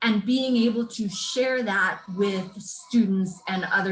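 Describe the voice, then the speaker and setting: With an American accent, a woman speaks at a very slow pace and with fairly even intonation. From United States. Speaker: educator at a peace university. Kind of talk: conference presentation.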